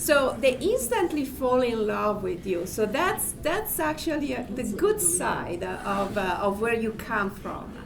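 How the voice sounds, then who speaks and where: A woman with an Italian accent and a fairly high pitch speaks at a fairly slow pace with hardly any pauses and very wide pitch swings, amid audible room echo and noticeable background noise. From Italy. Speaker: panelist. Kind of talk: panel discussion.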